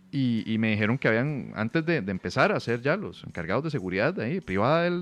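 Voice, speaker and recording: There is a man with an unremarkable speaking voice over a quiet background. His intonation is lively and his pace fairly quick. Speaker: podcast host and comedian. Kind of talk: casual chat. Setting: hotel room.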